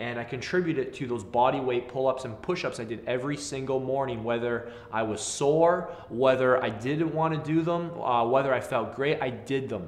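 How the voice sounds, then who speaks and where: The speech moves at a moderate pace. Audible room echo is present. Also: man. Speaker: fitness coach. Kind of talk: casual talk to camera, personal story. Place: gym.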